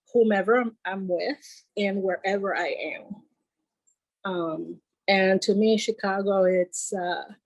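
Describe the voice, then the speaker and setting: The woman speaks very slowly in a medium pitch with a Puerto Rican accent, her voice dry and close with no echo. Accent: Puerto Rican Spanish-tinged English. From Puerto Rico. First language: Spanish. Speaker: podcast guest. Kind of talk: casual chat. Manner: halting.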